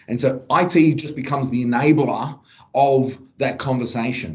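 This is a man speaking with a Melbourne accent. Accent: Australian, western suburbs Melbourne. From western suburbs of Melbourne, Australia. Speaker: podcast host, salesperson. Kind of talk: casual interview. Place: office.

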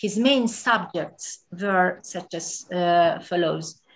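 In a Hungarian accent, a woman speaks very slowly at a medium pitch, somewhat breathy, with ordinary pitch variation. The background is quiet. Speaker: museum director. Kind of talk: lecture. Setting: video call.

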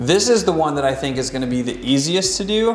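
Speech at a fairly quick pace carries audible room echo. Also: man. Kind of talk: explanation to a client. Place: gym.

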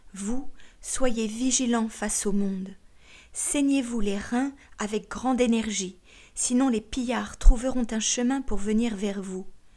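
A solemn woman at a very slow pace, fairly high in pitch, dark and mellow, somewhat breathy, with fairly even intonation, in a very clean recording with a silent background. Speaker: audiobook narrator. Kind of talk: scripted audiobook reading of sacred text, solemn and literary. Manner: slow, measured, solemn; formal, meditative, with deliberate pauses between sayings.

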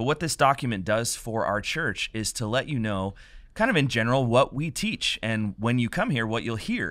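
Over a quiet background, a man talks with ordinary pitch variation in a dry sound with no echo. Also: moderate pace. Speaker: pastor hosting a podcast. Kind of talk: podcast introduction. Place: studio. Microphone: studio mic.

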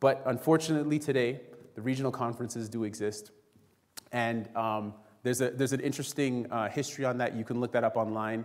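A man's medium-pitched voice at a very fast pace over a quiet background. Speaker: preacher. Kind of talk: sermon. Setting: church. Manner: animated, call-and-response, urgent preaching that invites the congregation to say amen. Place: church. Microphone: podium.

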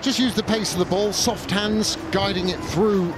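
Someone speaks at a moderate pace with crowd noise in the background. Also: man. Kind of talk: sports commentary.

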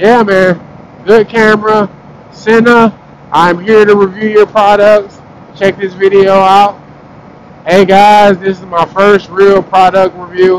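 A man speaks at a fairly slow pace in a monotone, flat intonation with long, frequent pauses, in a dry sound with no echo and light background noise. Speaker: motovlogger rider. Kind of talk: casual vlog chat. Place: motorbike. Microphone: helmet.

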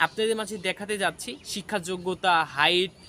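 A man speaks at a high pitch in a raised, projected voice. His tone is bright and sharp, with fairly even intonation. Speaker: job information video creator. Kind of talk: informational vlog.

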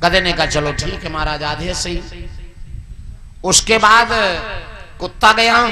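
Amid noticeable background noise, a man uses a raised, projected voice with a high pitch and ordinary pitch variation, speaking at a very slow pace with long, frequent pauses. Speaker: religious storyteller. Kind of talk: devotional story narration. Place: open country.

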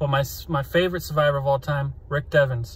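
A man speaks in an American accent with fairly even intonation. His voice is somewhat breathy, and the sound is dry with no echo. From Central Florida, USA. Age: 20s. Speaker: flight instructor. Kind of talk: casting video talk to camera. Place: car. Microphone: phone near.

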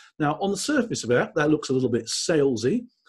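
This is a man speaking. He has an English accent. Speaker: LinkedIn trainer and speaker. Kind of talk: webinar presentation. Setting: live webinar from home. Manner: brisk.

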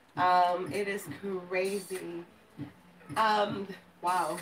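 With audible room echo, a woman speaks at a medium pitch in a bright, sharp tone.

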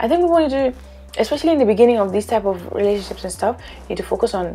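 The speaker is a woman. Music sounds faintly behind her. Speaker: reality show reviewer. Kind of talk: commentary. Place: home room. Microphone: lapel.

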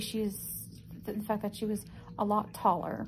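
A woman's voice with vocal fry over light background noise. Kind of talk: casual vlog chat. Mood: upset, indignant storytelling. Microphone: phone near.

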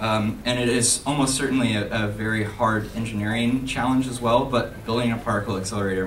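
A man with a fairly low pitch speaks at a fairly quick pace with fairly even intonation over light background noise. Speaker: student maker and conference speaker. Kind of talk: conference talk. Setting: stage with audience. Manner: halting, many fillers. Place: hall.

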